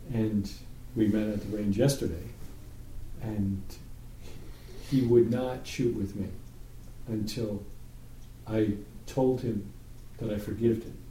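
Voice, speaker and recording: A man with an American accent speaks at a fairly slow pace in a fairly low, somewhat breathy voice with a dark, mellow tone, fairly even intonation, long, frequent pauses and audible room echo. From New York. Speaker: Torah study group leader. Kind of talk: group Bible study discussion.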